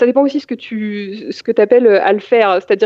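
A woman's fairly high, fairly quick delivery in an ordinary speaking voice. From Paris region, France. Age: 30s. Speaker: IT consultant and adult cycling learner. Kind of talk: interview.

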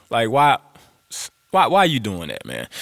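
A man's medium-pitched voice at a moderate pace. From US South, Louisiana (Grambling). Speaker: podcast host, motivational speaker. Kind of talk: casual monologue. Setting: home room. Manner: animated.

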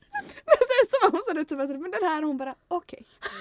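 Extremely high in pitch with very wide pitch swings, a woman's voice comes through dry and close with no echo. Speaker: podcast host. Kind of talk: casual chat.

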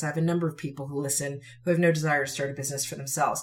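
A woman speaks with a somewhat breathy voice. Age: 40s. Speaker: podcast host and author. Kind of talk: solo motivational talk. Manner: animated; conversational, with fillers.

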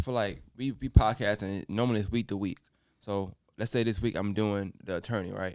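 Speaking at a fairly quick pace with fairly even intonation, a man with an American accent has an unremarkable speaking voice and a fairly low pitch. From New York, Brooklyn. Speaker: podcast host. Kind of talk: casual group chat between podcasters.

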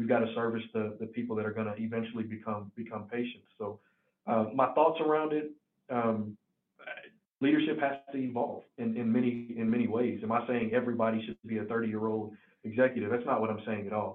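Speaking at a fairly quick pace in a medium pitch, a man with a slight Southern US accent keeps his intonation fairly even. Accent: slight Southern country. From Tennessee, near Nashville. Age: 20s. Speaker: healthcare executive. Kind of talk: interview. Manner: halting.

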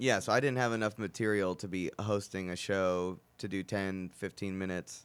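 Barely pausing, a man with an unremarkable speaking voice talks at a fairly low pitch and moderate pace, with fairly even intonation, on a very clean recording with a silent background. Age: 20s. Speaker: comedian and podcast host. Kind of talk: casual chat.

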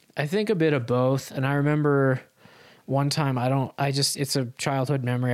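A man talks at a fairly quick pace with medium pitch, very even loudness and fairly even intonation, in a plain, everyday voice. The recording is very clean, with a silent background. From US West (Utah). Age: 30s. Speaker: drummer and musician. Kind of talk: casual interview conversation.

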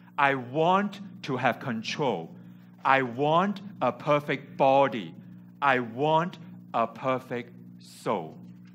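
A man speaks at a medium pitch with lively intonation and a very slow pace. Long, frequent pauses break his speech, with music in the background. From Hong Kong. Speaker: preacher. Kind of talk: sermon. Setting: church.

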